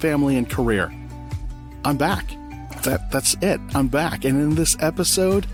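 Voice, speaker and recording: A man at medium pitch talks while music plays in the background. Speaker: podcast host; voice actor. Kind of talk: solo podcast talk.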